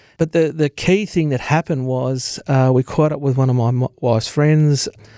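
A man's dark, mellow voice with an Australian accent, medium pitch and fairly even intonation, at a fairly quick pace, in a dry, close, very clean recording with a silent background and no echo. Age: 40s. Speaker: sales manager sharing mental illness story. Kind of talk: interview testimony.

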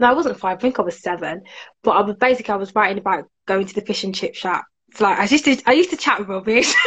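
A medium-pitched woman with a Birmingham accent, talking very fast with lively intonation. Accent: Birmingham, fairly strong. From Birmingham, England. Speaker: author and career coach. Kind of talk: casual interview chat.

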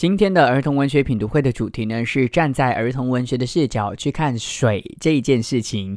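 At a moderate pace and with hardly any pauses, a man talks in a medium-pitched voice with ordinary pitch variation. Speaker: radio host presenting children's picture books. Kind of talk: radio talk reviewing children's books. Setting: studio. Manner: subdued, less lively than usual.

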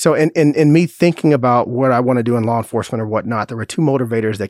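A very fast man's voice at medium pitch, with ordinary pitch variation, on a very clean recording with a silent background. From Chicago, south side. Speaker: police chief. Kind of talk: interview.

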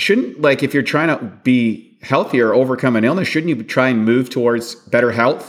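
A man has a normal speaking voice at a medium pitch. He talks at a fairly quick pace with ordinary pitch variation. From Canada. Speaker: bodybuilding champion and nutrition author. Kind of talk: interview.

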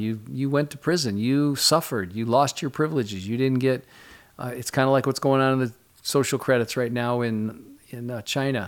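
A plain, everyday voice with an American accent, ordinary pitch variation and a fairly quick pace, on a very clean recording with a silent background. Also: man. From Michigan. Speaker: pastor. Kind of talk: interview. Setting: studio.

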